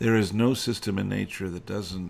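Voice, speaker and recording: Here is a man with a very deep, low pitch and an American accent. He keeps a moderate pace and fairly even intonation. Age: 60s. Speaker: farm owner and historical reenactor. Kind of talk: casual monologue update. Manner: hesitant, many fillers.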